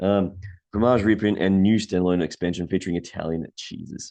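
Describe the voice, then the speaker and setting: Against a quiet background, a man with an Australian accent speaks in a dark, mellow tone at a fairly low pitch with fairly even intonation. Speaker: board game youtuber. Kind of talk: casual product roundup. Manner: hesitant, many fillers; fast.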